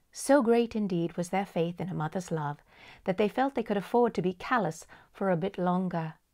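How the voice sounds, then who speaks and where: A woman with a plain, everyday voice at a medium pitch, a fairly quick pace and ordinary pitch variation. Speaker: audiobook storyteller. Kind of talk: bedtime story reading.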